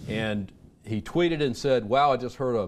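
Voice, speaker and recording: A man with an Alabama accent talks at a fairly quick pace, his intonation lively. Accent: Southern US (Alabama). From US South, Birmingham, Alabama. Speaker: retired army intelligence officer. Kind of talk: radio interview.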